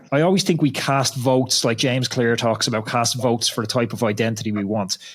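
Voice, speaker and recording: Speaking at a very fast pace in an Irish accent, a man of medium pitch uses ordinary pitch variation over noticeable background noise. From Ireland. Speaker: podcast host, former pro cyclist. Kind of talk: casual interview chat.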